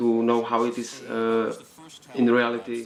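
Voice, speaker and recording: A man's voice at medium pitch and moderate pace, with noticeable background noise. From Czech Republic, Nové Sedlo near Karlovy Vary. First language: Czech. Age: 20s. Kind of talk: documentary interview. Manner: halting.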